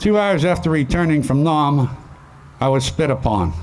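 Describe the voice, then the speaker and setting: Audible room echo surrounds a man with a Pittsburgh accent. His fairly high voice moves at a fairly slow pace. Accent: western Pennsylvania (Pittsburgh) American. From western Pennsylvania, McKeesport area. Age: 70s. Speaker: Vietnam war veteran. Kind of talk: memorial speech.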